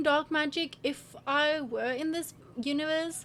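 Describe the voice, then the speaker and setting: Her intonation lively, a woman talks at a high pitch. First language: not English. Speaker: gaming/lifestyle YouTuber. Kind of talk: casual vlog reading quiz results aloud. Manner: animated.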